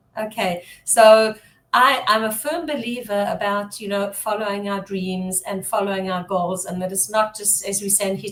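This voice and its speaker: A woman talks at a fairly slow pace with ordinary pitch variation. There is noticeable background noise. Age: 60s. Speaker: business strategist and branding coach. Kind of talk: interview.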